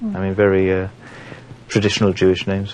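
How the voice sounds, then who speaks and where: There is noticeable background noise behind this man. He speaks with a South Welsh accent and monotone, flat intonation. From Port Talbot, South Wales. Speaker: stand-up comedian. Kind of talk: documentary interview talk.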